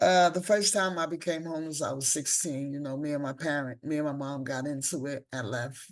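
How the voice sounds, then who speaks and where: Spoken at a moderate pace with ordinary pitch variation, the voice has an American accent. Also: woman, quiet background. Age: 60s. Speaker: peer specialist and advocate. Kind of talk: personal testimony.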